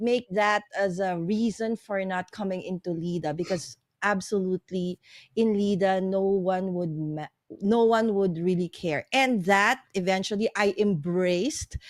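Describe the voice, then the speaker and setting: A woman's medium-pitched voice in a Filipino accent, fairly slow in pace, with ordinary pitch variation. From Philippines. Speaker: live streamer. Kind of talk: casual chat.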